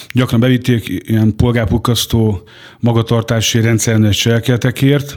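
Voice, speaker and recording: At a moderate pace, a man speaks with monotone, flat intonation. His pitch sits in the medium range. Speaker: former prisoner. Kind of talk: life story interview. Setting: studio. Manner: halting.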